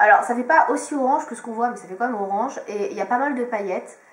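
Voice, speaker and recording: Audible room echo surrounds a woman's voice. Her fairly high pitch carries lively intonation. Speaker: beauty vlogger. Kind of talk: product review. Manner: hesitant, many fillers.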